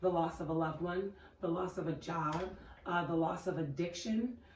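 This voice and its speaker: A woman's fairly low voice with fairly even intonation and audible room echo. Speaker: podcast co-host. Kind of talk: casual chat.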